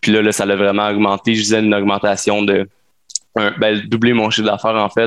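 A man with a Quebec accent, fairly low in pitch, fairly quick, with monotone, flat intonation and very even loudness. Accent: Québécois French. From Quebec, Sherbrooke. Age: 20s. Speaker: entrepreneur. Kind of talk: casual interview.

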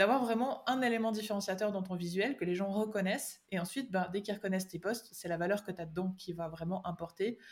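A woman with a medium pitch and a somewhat breathy voice talks at a very fast pace, hardly pausing, with ordinary pitch variation. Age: 20s. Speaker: digital strategy consultant. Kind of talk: podcast interview.

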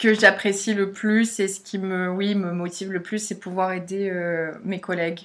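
Here a woman talks at a medium pitch with fairly even intonation. The recording is very clean, with a silent background. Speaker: communications apprentice, master's student. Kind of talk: interview. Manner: hesitant, many fillers.

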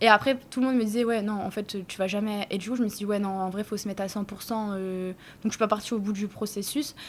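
A woman talks at a fairly quick pace with hardly any pauses and a monotone, flat intonation. The recording is very clean, with a silent background. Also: medium pitch for a woman. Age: 20s. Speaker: restaurant owner. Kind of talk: casual chat. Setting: in her restaurant. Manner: casual, hesitant with fillers.

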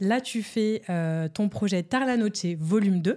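With ordinary pitch variation, the voice heard is a plain, everyday voice. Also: woman. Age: 20s. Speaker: podcast host. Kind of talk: casual chat.

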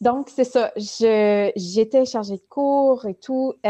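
Her dark, mellow tone comes through a dry, close sound with no echo as the woman speaks at a very slow pace. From Ontario, Canada (francophone). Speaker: writing workshop facilitator. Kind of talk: interview conversation. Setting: live stream.

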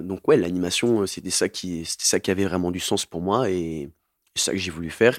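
The recording is very clean, the background silent. A man's very deep, low voice moves at a moderate pace. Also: fairly even intonation, dry, close sound with no echo. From southern France, Montpellier. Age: 20s. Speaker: farm educator and youth activity leader. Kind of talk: interview testimony. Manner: halting.

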